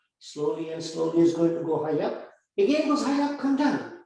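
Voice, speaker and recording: Audible room echo surrounds a man whose voice has very wide pitch swings. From India, Bengal. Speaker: physician and yoga therapy teacher. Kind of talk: lecture with Q&A.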